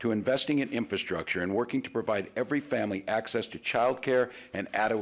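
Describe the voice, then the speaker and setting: At a fairly quick pace, a man talks with ordinary pitch variation. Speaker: politician giving statement. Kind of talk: prepared statement to press. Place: hall. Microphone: podium.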